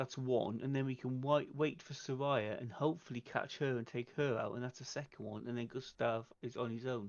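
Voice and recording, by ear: Speaking at a fairly quick pace with few pauses, a man uses a medium pitch and fairly even intonation.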